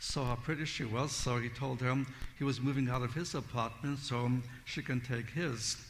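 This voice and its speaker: A man speaks in a somewhat breathy voice, with audible room echo around him. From Siberia, Russia. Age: 70s. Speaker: Bible teacher. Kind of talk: testimony.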